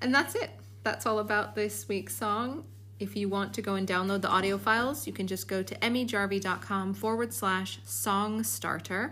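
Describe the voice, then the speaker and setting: A woman with a Chicago accent at a moderate pace. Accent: American, Chicago. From US Midwest, Chicago. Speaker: podcast host, musician. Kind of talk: podcast monologue.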